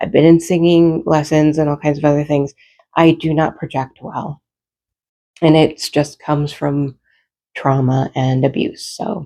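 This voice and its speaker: Speaking fairly slowly, a woman uses a very deep, low pitch and a dark, mellow tone in monotone, flat intonation. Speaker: home vlogger. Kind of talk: casual vlog talk. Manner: soft-spoken, doesn't project. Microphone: clip-on mic, quiet on collar.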